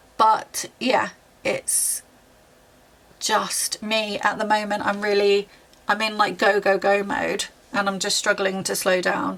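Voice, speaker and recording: A woman with a British accent at a very slow pace, fairly even in intonation, over noticeable background noise. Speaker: YouTuber and university student. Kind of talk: tutorial.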